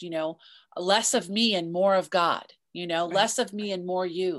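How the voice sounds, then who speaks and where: Against a quiet background, a woman speaks in an ordinary speaking voice at a moderate pace and medium pitch, with fairly even intonation. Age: 50s. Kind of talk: interview.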